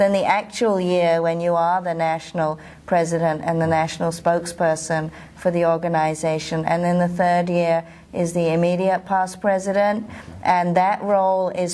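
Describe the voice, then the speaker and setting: A woman talks at a moderate pace with a fairly low pitch and very even loudness. Her intonation is monotone and flat. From London, England. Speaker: professional association president, osteopath. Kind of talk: interview. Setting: at a convention.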